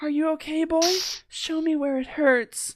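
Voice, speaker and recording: A man puts on a character voice at an extremely high pitch. He delivers it at a moderate pace. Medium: read story. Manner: soft and gentle.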